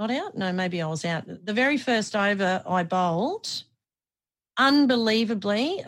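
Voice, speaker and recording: Lively intonation marks a woman's speech, caught in a very clean recording with a silent background. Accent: Australian. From Australia (Brisbane). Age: 40s. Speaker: former radio host and athlete. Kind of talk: casual interview chat.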